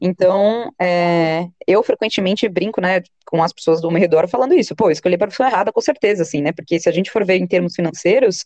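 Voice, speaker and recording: A woman speaks at a moderate pace with a fairly low pitch and ordinary pitch variation. The sound is dry and close, with no echo. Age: 20s. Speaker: sociologist and teacher. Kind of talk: interview. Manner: hesitant, many fillers.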